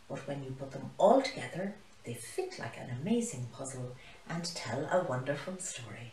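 A woman speaks at a moderate pace with big swings in pitch and audible room echo.

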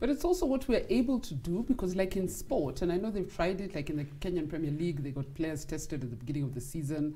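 Talking at a very fast pace with hardly any pauses, a woman uses a somewhat breathy, dark, mellow tone. Her fairly low voice swings very widely in pitch. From Kenya. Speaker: sports talk show host. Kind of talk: interview. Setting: studio. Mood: cheerful, animated. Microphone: lapel.

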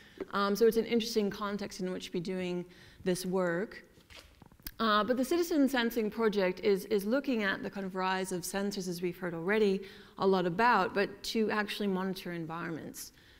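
A woman's normal speaking voice at medium pitch, fairly quick in pace with ordinary pitch variation, over a quiet background. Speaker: professor; conference presenter. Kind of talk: panel presentation. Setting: stage with audience. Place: stage.

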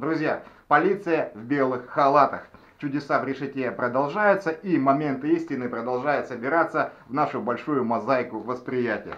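A man uses a normal speaking voice with a fairly high pitch, moving at a moderate pace and showing ordinary pitch variation. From Russian Far East, Nikolayevsk-on-Amur. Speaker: video blogger. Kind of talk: tutorial.

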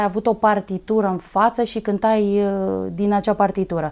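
Her intonation fairly even, a woman speaks at a moderate speed. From Romania, Dâmbovița county; Romania. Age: 30s. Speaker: folk singer; interview guest. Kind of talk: interview; interview answer. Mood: warm, smiling, grateful. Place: studio. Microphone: lapel.

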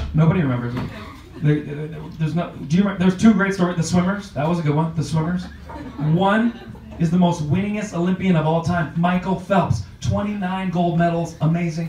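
A high-pitched man in an animated, playful tone, with audible room echo and music in the background. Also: ordinary pitch variation. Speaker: comedian. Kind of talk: stand-up comedy. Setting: comedy club stage with audience. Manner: animated, punchy, playful crowd work; jokey, self-deprecating, with fast punchline delivery. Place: stage.

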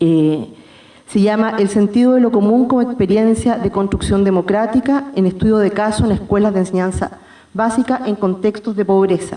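Against a quiet background with audible room echo, a woman speaks at a moderate pace with fairly even intonation and very even loudness. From Chile. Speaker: philosophy academic; presenter. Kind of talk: reading a paper. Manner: formal. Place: hall. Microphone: podium.

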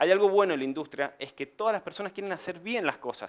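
The speaker is a man talking fairly quickly. Nothing much sounds behind him. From Argentina, Mendoza; Argentina. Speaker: civil engineer and construction business owner; presenter. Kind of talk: conference presentation. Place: meeting room.

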